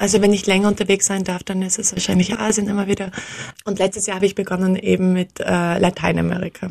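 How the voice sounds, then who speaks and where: A woman speaks at medium pitch and a very fast pace. Her intonation is monotone and flat. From Austria. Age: 30s. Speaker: social entrepreneur, founder of a tour company. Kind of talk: interview.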